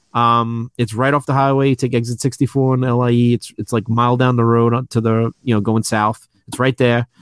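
A man with an American accent speaks at a moderate pace and medium pitch, in a monotone, flat intonation with very even loudness and hardly any pauses. The sound is dry and close with no echo, on a very clean recording with a silent background. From New York City. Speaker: toy shop owner. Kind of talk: casual chat.

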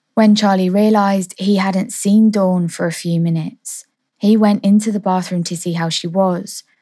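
A woman with a serious, dark, mellow tone speaks at a medium pitch and a fairly slow pace, somewhat breathy and flat in a monotone delivery. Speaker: podcast host. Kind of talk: true-crime narration, storytelling read with suspense. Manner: measured, serious, steady pacing building suspense.

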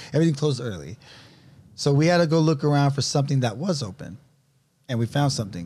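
In a very clean recording with a silent background, a man with a fairly high, somewhat breathy voice talks very fast with lively intonation and long, frequent pauses. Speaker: fitness coach. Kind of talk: casual chat.

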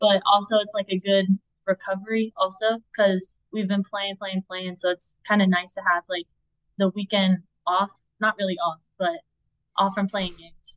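A woman speaks at a moderate pace and medium pitch, her intonation flat and monotone, her loudness swinging widely, in a dry, close sound with no echo. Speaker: college softball pitcher. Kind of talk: interview.

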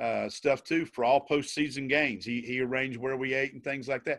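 Recorded very clean against a silent background, a man with an American accent and a fairly high pitch speaks at a fairly quick pace. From West Virginia, Logan County. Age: 50s. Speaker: former high school basketball coach. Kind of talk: casual interview.

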